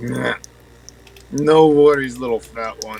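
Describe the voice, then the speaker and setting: A man uses a put-on character voice at medium pitch. He speaks at a fairly slow pace. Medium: actual play. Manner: drowsy, mumbling.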